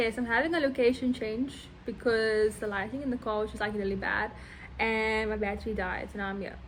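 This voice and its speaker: A woman speaks at a very fast pace. Her fairly high voice keeps a fairly even intonation. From South Africa. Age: 20s. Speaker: university student, YouTuber. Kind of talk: casual talk to camera.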